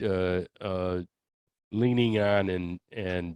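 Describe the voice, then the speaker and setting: A man talks with ordinary pitch variation. The sound is dry and close, with no echo. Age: 60s. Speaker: author and attorney. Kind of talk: interview. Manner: halting, with frequent fillers and repeats.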